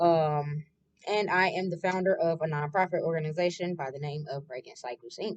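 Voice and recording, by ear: A woman's low-pitched voice at a moderate pace, with ordinary pitch variation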